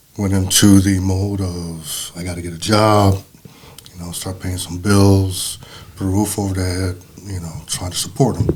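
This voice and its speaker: With noticeable background noise behind him, a man with a very deep, low pitch speaks in a monotone, flat delivery at a moderate pace, his loudness swinging widely. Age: 60s. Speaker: father of the host. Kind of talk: casual conversation.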